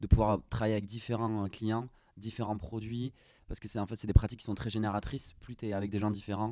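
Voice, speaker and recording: A man with a dark, mellow tone and fairly low pitch speaks at a very fast pace with fairly even intonation, on a very clean recording with a silent background. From southwestern France, Gers. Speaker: product designer. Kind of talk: interview. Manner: hesitant, many fillers.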